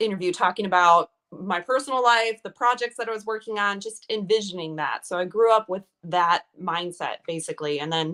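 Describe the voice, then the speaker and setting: A bright, sharp tone in a Wisconsin accent at a moderate pace. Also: woman. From Milwaukee, Wisconsin. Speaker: actress. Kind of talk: casual interview chat.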